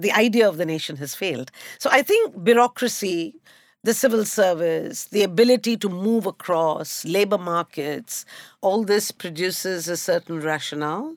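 With an Indian accent and lively intonation, the speaker talks at a moderate pace in a dry, close sound with no echo on a very clean recording with a silent background. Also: woman, medium pitch for a woman. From India, Calcutta. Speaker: historian. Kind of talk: panel discussion.

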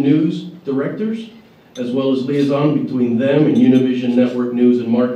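There is noticeable background noise behind this speaker. He is a man with a fairly high pitch, talking at a moderate pace. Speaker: panel moderator. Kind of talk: moderating a panel at a breakfast event.

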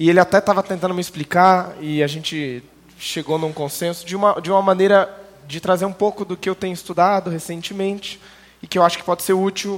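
A man's high voice at a fairly quick pace, with fairly even intonation. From interior of São Paulo state, Brazil. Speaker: Bible teacher. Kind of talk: church Bible lecture.

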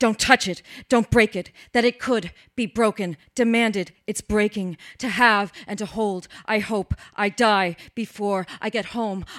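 A woman with an ordinary speaking voice and a fairly high pitch uses fairly even intonation, recorded very cleanly against a silent background with a dry, close sound and no echo. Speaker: open mic poet. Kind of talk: poetry reading. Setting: stage with audience.

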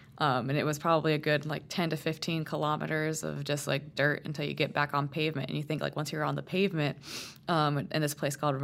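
In a very deep, low pitch, a woman talks with vocal fry and monotone, flat intonation. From Puerto Rico. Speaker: newspaper reporter. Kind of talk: interview.

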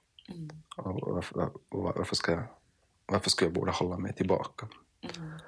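A man speaks at a fairly low pitch and a moderate pace, somewhat breathy. His pitch swings very widely, with long, frequent pauses. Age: 30s. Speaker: podcast host. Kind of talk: casual interview conversation. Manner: halting, many repetitions.

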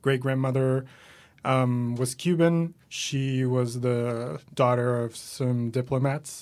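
A man's medium-pitched voice in a Spanish accent, very slow and with fairly even intonation. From Venezuela. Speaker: comedian and writer. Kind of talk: casual interview chat.

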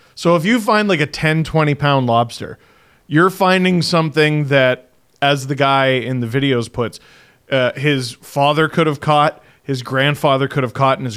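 A man with a Canadian accent speaks at a fairly slow pace in an ordinary speaking voice, fairly high-pitched with ordinary pitch variation. The recording is very clean, with a silent background. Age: 30s. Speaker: podcast host. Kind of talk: casual chat.

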